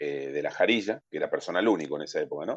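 A man's very deep, low-pitched voice. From Argentina, Carmen de Patagones (Buenos Aires province). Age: 40s. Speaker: human rights testimony guest, restored grandchild's brother. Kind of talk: personal testimony. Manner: halting, many fillers and repetitions.

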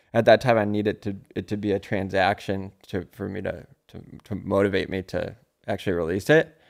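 In a very clean recording with a silent background, a man with a fairly low pitch talks in an unremarkable speaking voice with fairly even intonation. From US Midwest, Chicago. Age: 30s. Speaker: comedian and musician. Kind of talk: casual chat. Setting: studio.

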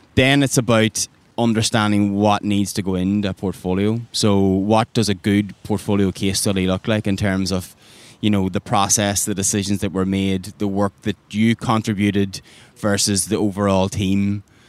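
Speaking in an Irish accent, a man has a fairly low pitch and monotone, flat intonation at a moderate pace. The sound is dry and close with no echo. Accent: Irish accent, noticeable. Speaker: design recruiter. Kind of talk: podcast interview. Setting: outdoors by a river.

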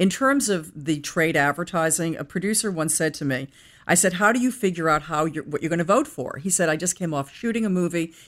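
A woman with an American accent, an unremarkable speaking voice, lively intonation and a fairly quick pace. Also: fairly low pitch for a woman. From US Northeast, Boston area. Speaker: publishing executive. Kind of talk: interview. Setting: office.

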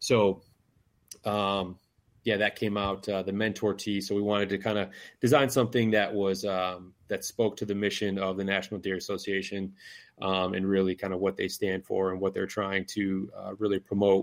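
With an Upper Midwest accent, a man talks at a fairly low pitch and moderate pace in a monotone, flat intonation, recorded very cleanly against a silent background. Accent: Upper Midwest American. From northern lower Michigan. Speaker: conservation apparel business owner, bowhunter. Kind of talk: casual podcast interview. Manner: hesitant, many fillers.

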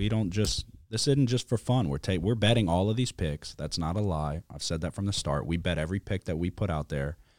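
A man's very deep, low-pitched voice with lively intonation, dry and close with no echo, on a very clean recording with a silent background. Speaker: sports podcast host. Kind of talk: casual chat. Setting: studio.

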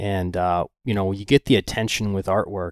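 A plain, everyday voice speaks at a moderate pace with fairly even intonation. The recording is very clean with a silent background, giving a dry, close sound with no echo. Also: man. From Florida Gulf Coast (Venice), moved from Michigan at four. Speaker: ocean photographer. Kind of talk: casual interview chat.

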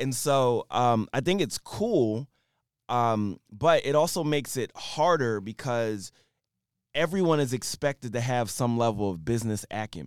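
A man speaks in a normal speaking voice at medium pitch, with lively intonation. The sound is dry and close, with no echo. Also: fairly slow pace, very clean recording, silent background. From Philadelphia, US. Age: 40s. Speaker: rapper and tech entrepreneur. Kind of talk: casual interview chat.

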